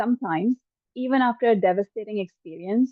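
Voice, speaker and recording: A woman talks in an ordinary speaking voice. Her pitch variation is ordinary. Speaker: psychic medium. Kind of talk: channeling session. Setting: live online session.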